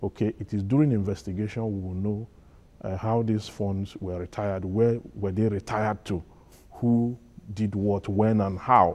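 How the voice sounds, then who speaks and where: A man speaks at a moderate pace with a fairly low pitch, a dark, mellow tone and fairly even intonation. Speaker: studio guest commentator. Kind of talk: live TV panel discussion. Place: studio. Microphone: lapel.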